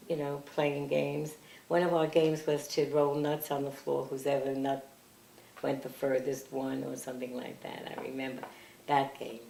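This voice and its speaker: Amid noticeable background noise and audible room echo, a woman with an American accent speaks at a moderate pace in a flat monotone, her pitch very deep and low. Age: 80s+. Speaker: family elder recalling her parents. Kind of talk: oral history interview. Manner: halting.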